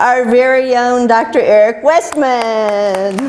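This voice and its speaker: A woman with an American accent speaks very slowly at a fairly high pitch, with audible room echo and noticeable background noise. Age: 60s. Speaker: keto success story speaker. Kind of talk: prepared personal testimony talk.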